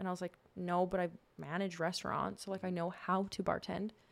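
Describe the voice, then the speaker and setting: With a Canadian accent, a woman speaks at a very fast pace in monotone, flat intonation. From Saskatchewan, Canada. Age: 30s. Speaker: nurse. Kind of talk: casual interview chat.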